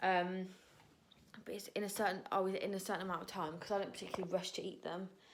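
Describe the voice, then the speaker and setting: A woman with an English accent and a medium pitch speaks at a very fast pace amid audible room echo. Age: 20s. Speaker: vlogger and dance student. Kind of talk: casual vlog. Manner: animated.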